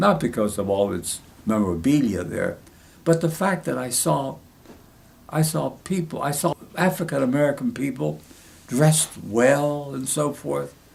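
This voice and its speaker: Somewhat breathy, a man talks at a moderate pace in a fairly high pitch. His voice makes very wide pitch swings. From Ohio Valley, West Virginia area (Greek immigrant family). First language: Greek. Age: 90s. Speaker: war veteran. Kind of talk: oral history interview. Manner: halting, repetitive.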